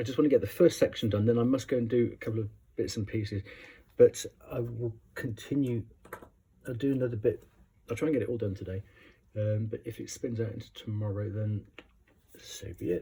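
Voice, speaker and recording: A man speaks at a fairly quick pace with long, frequent pauses, his intonation fairly even. His voice is medium-pitched, somewhat breathy, with a dark, mellow tone. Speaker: tarot reader. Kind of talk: tarot reading. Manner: hesitant.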